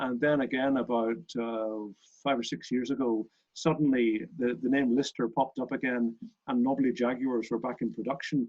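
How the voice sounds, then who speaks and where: A Northern Irish accent at a moderate pace, with fairly even intonation. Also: man, medium pitch for a man. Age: 60s. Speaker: racing car company owner and club chairman. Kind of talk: interview.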